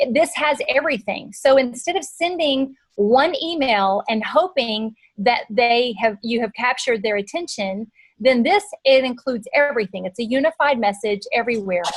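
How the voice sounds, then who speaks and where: A woman with a high pitch and lively intonation keeps a moderate pace. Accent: Texan. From Texas. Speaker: marketing presenter. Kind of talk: webinar presentation.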